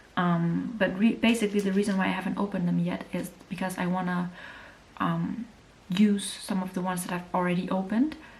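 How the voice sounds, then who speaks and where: Against noticeable background noise, a woman of medium pitch talks at a fairly quick pace with ordinary pitch variation. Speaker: beauty youtuber. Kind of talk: casual review monologue. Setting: at home. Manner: fast.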